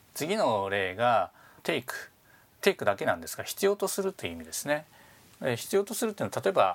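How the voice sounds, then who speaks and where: A man with a fairly high pitch talks at a fairly quick pace with vocal fry. His pitch swings very widely, and his loudness shifts a lot. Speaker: business English instructor and podcast host. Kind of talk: tutorial.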